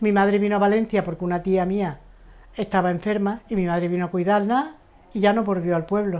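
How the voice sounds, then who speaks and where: A woman has a dark, mellow tone and fairly even intonation. She speaks at a fairly quick pace. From Seville, Andalusia, Spain. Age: 70s. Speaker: interviewee, migrant woman. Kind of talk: life story interview.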